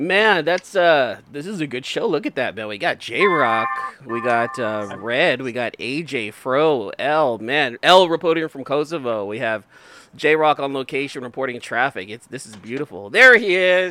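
Amid noticeable background noise, a man with a fairly high voice talks at a moderate pace, his intonation lively and his loudness swinging widely. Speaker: podcast host. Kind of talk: casual banter.

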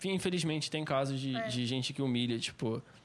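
A man talks at a moderate pace, his pitch varying in an ordinary way. The background is silent and the recording very clean. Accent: Rio de Janeiro. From Rio de Janeiro state (Cabo Frio), Brazil. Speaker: singer. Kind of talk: casual chat.

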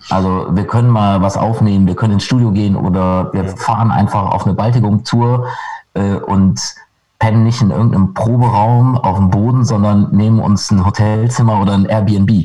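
A man speaks at a moderate pace with fairly even intonation and a fairly low pitch. Music plays in the background. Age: 40s. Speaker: punk rock guitarist. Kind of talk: casual interview. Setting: video call.

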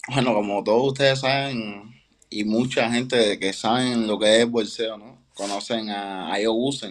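A man with a normal speaking voice and medium pitch talks at a fairly slow pace, his intonation fairly even and his loudness swinging widely. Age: 20s. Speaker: professional boxer. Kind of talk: interview.

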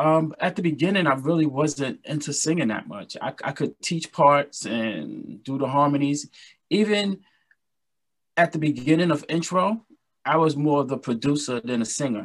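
Over a quiet background, a man with a New York accent talks at a fairly high pitch with ordinary pitch variation. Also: moderate pace. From Brooklyn, New York. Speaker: R&B singer and musician. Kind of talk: interview.

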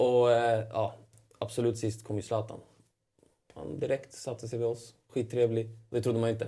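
A man pauses long and often as he speaks at medium pitch, in a dark, mellow, somewhat breathy tone with monotone, flat intonation. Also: moderate pace. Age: 30s. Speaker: professional footballer. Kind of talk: interview. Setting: studio.

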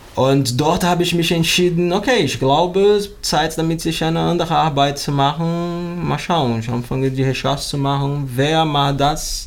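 Speaking at a moderate pace with ordinary pitch variation, a man with a Portuguese accent is heard amid noticeable background noise and audible room echo. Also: fairly high pitch for a man, hardly any pauses. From Brazil, Rio de Janeiro. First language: Portuguese (speaking German). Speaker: yoga teacher and plastic recycling project founder. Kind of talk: interview. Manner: halting, searching for words.

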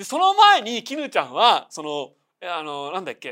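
On a very clean recording with a silent background, a man uses a raised, projected voice with a bright, sharp tone. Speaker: podcast host, film and manga commentator. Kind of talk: solo casual talk about films and news.

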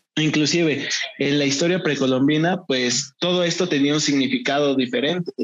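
A man talks at a moderate pace with a fairly high pitch. He has an unremarkable speaking voice. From Mexico, Acambay (State of Mexico). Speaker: podcast co-host. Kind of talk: casual chat.

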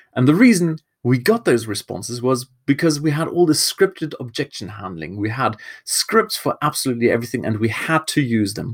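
A man with a German accent speaks at a medium pitch and a fairly quick pace, his pitch swinging very widely. The recording is very clean with a silent background, and the sound is dry and close with no echo. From Germany. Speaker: marketing podcast host. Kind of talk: solo podcast talk.

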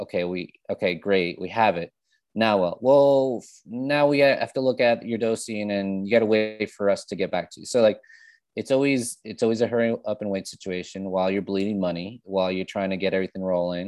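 Against a quiet background, a man with an American accent talks fairly quickly in an unremarkable speaking voice, fairly low in pitch with ordinary pitch variation. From New Jersey, US. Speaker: food startup consultant. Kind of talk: casual interview.

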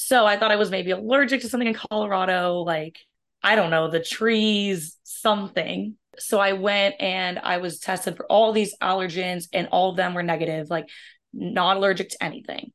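A woman speaks at a moderate pace with medium pitch and ordinary pitch variation. It is a plain, everyday voice against a quiet background. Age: 20s. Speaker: chronic illness patient sharing her story. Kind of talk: interview testimony.

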